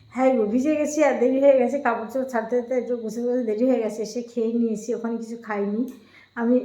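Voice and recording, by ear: In a room with audible echo, a woman talks very fast at a fairly high pitch in a dark, mellow tone. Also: fairly even intonation.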